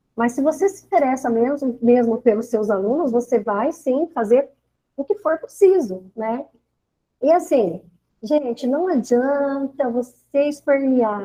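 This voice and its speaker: Fairly slow and with lively intonation, a woman speaks at a high pitch in a dark, mellow tone. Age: 60s. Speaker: teacher. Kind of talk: online teacher training talk. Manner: hesitant, with fillers.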